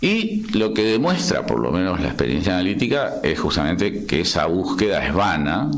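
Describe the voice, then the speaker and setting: Someone speaks fairly slowly in an Argentine accent. Room echo is audible and background noise is noticeable. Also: man. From Argentina. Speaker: psychoanalyst. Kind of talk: interview discussion. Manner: halting, many restarts.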